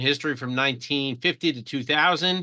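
Against a quiet background, a man talks with a bright, sharp tone and ordinary pitch variation. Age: 50s. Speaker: manuscript dealer and collector. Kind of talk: lecture. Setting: video call.

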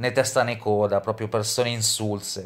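A man talks at a moderate pace. Nothing intrudes from the quiet background. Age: 30s. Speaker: YouTuber. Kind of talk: vlog monologue. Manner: halting, many fillers. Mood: defensive, aggrieved.

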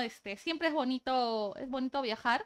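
Against a quiet background, a woman with a high pitch and a bright, sharp tone talks at a fairly slow pace with ordinary pitch variation. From Peru, Piura. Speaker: labor law specialist. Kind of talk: casual interview. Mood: relaxed, friendly. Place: studio.

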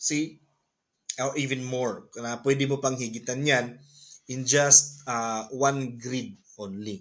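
Against a quiet background, the voice moves at a very slow pace with fairly even intonation. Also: man. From Philippines. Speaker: business presenter; presenter. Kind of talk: sales pitch. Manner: halting, many fillers. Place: home room. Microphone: webcam.

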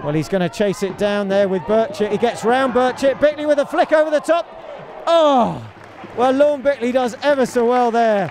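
A man's high-pitched voice with very wide pitch swings, at a moderate pace over noticeable background noise. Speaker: football commentator. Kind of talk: live football match commentary. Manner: clipped, breathless short phrases during attacks, calmer analysis after goals.

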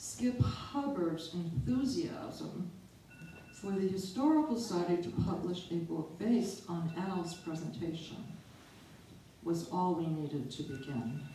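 Lively in intonation, a woman with a fairly low voice is heard with audible room echo and light background noise. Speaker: presenter. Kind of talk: prepared talk. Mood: solemn, memorial tone. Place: hall.

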